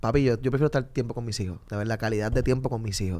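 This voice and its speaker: The recording of this man is very clean, with a silent background. He talks at a fairly quick pace. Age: 30s. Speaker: street reporter. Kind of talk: casual chat. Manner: animated.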